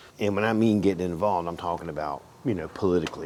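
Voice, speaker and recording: A man talks very fast in a very deep, low voice with fairly even intonation, over noticeable background noise. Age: 60s. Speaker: auto mechanic. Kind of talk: casual workshop tutorial with rant. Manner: halting, stumbling over words.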